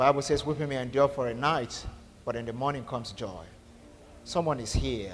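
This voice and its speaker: A man at a medium pitch with vocal fry, ordinary pitch variation, a fairly quick pace, big swings in loudness, and long, frequent pauses. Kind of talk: sermon. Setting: church. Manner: fervent, rhythmic preacher's cadence with repeated phrases and call-and-response; loud, urgent and commanding, like decreeing blessings over a crowd.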